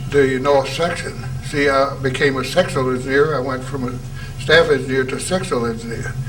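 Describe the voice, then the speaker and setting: A man with a medium pitch talks at a fairly quick pace in a monotone, flat intonation. The room echo is audible, and there is noticeable background noise. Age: 80s+. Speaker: retired engineer. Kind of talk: oral history interview.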